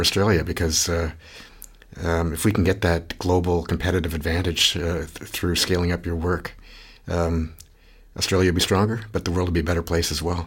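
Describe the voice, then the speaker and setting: This man has a very deep, low voice and a Canadian accent. He sounds somewhat breathy and keeps a flat, monotone delivery. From Canada. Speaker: podcast host, research institute director. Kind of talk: interview. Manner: halting, many repetitions.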